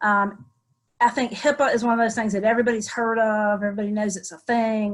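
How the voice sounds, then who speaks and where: A somewhat breathy woman speaks with a Southern US accent. Her delivery is fairly quick and flat, in a monotone. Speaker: attorney. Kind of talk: webinar presentation.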